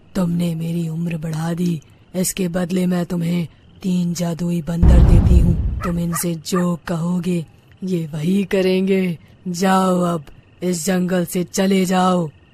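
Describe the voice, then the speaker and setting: In a cartoonish character voice of middle pitch, the speaker talks at a very slow pace with monotone, flat intonation. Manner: commanding, threatening.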